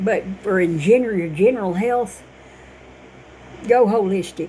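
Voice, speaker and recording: Over noticeable background noise, a woman speaks in an animated tone at a medium pitch and moderate pace, with ordinary pitch variation. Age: 60s. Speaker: vlogger. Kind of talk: casual monologue.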